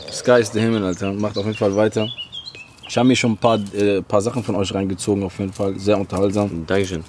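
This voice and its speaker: A man's fairly low, monotone, flat voice at a very fast pace, over noticeable background noise. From Algeria (Oran), moved to Germany. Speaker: rapper. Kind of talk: casual chat. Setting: garden.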